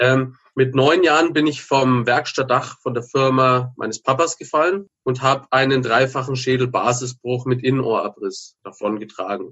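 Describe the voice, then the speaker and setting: A man with a normal speaking voice, medium pitch, fairly even intonation, a moderate pace and hardly any pauses. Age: 30s. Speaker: former drug addict turned author and entrepreneur. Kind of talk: interview testimony.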